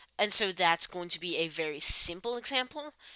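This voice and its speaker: Recorded very cleanly against a silent background, a woman speaks in a bright, sharp tone with very wide pitch swings. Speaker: chemistry tutor. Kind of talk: tutorial. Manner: halting.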